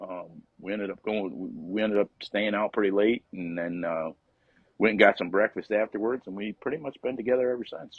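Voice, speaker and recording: A man with an Upstate New York accent, fairly low-pitched and fairly quick, with ordinary pitch variation and big swings in loudness. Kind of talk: interview answer. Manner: casual, relaxed.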